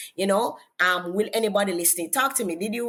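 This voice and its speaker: Very fast speech in a Jamaican accent, with ordinary pitch variation. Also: woman. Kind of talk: interview. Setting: podcast.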